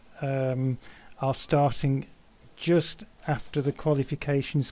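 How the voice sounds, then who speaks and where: A dark, mellow tone with a British accent and fairly even intonation. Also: man. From UK. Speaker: English teacher. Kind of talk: lesson.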